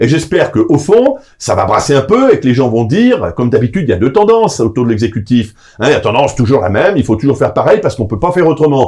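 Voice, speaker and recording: Somewhat breathy and fairly high-pitched, a man races along at a very fast pace while his pitch swings very widely. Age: 60s. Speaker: association president and political lobbyist. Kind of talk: interview. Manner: hesitant, many filler sounds.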